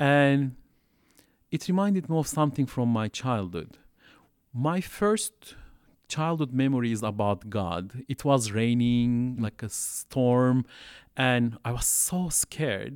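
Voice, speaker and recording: Lively intonation and a very slow pace mark this speaker with a Turkish accent, heard on a very clean recording with a silent background. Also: man, medium pitch for a man. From Turkey (Istanbul). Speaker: refugee services worker and theology student. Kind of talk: interview testimony. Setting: classroom.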